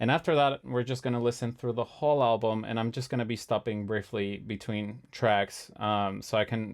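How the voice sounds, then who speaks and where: Against a quiet background, a man with a non-native accent talks at a moderate pace and medium pitch with fairly even intonation. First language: not English. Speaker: music composer streamer. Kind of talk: live stream chat. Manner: halting, many fillers.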